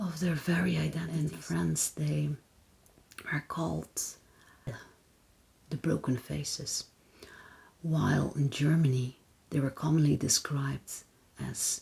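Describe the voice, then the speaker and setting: The speaker whispers fairly slowly, with long pauses coming often. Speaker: ASMR reader. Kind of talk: whispered ASMR book reading. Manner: whispered.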